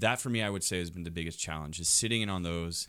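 A man with a Canadian accent and a very deep, low pitch, fairly quick, with fairly even intonation, on a very clean recording with a silent background. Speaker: politician. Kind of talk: casual interview conversation.

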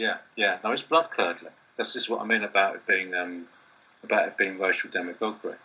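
A man speaks with a southern English accent. His pace is fairly quick. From southeast England, Kent/London borders. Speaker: university lecturer and writer. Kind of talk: casual discussion.

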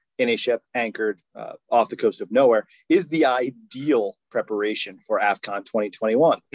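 A man's unremarkable speaking voice at a fairly slow pace, the sound dry and close with no echo. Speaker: podcast host. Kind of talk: casual banter about fantasy football draft.

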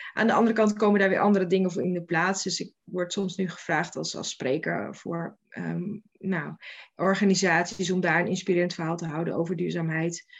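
Her fairly low voice carries vocal fry as this woman speaks at a fairly quick pace with fairly even intonation. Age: 40s. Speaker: local government programme manager. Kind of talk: interview. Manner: halting.

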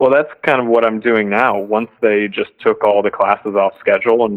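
A man with a fairly low pitch and an unremarkable speaking voice talks at a moderate pace with fairly even intonation. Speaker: caller, teacher. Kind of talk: casual chat. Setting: phone call.

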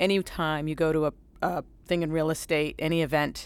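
This woman has an American accent, a very deep, low pitch and vocal fry. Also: very clean recording, silent background. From New Bedford, Massachusetts. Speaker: asset manager. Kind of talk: panel discussion.

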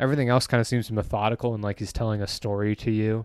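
A man's normal speaking voice, medium in pitch and fairly quick, with fairly even intonation, in a dry, close sound with no echo on a very clean recording with a silent background. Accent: American. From Michigan, US Midwest. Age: 20s. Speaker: podcast guest and fan. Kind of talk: casual chat.

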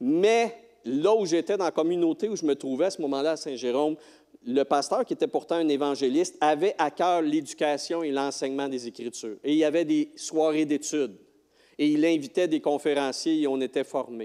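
A man speaks with a Quebec accent. His tone is dark and mellow, with ordinary pitch variation. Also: fairly high pitch for a man, moderate pace. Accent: Québécois French. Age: 60s. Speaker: lay preacher, retired teacher and school bus driver. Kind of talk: sermon. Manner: halting.

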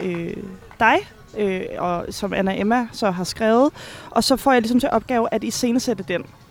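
Music behind a voice of ordinary pitch variation. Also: woman. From Finland. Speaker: stage director. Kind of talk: casual interview. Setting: busy café. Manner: halting, many fillers.

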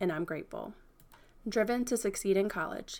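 A woman with an American accent, an unremarkable speaking voice, medium pitch, ordinary pitch variation and a fairly quick pace. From Franklin, Virginia, US. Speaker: podcast host, marketing consultant. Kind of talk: scripted narration.

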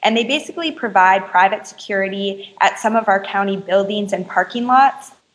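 With an American accent, a woman talks in an ordinary speaking voice at a fairly quick pace and medium pitch, with hardly any pauses. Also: ordinary pitch variation. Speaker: activist. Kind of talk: interview.

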